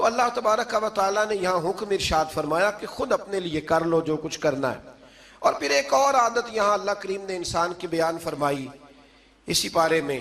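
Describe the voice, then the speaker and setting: A man speaks with a high voice. His intonation is lively. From Pakistan. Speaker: Islamic scholar and preacher. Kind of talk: religious sermon.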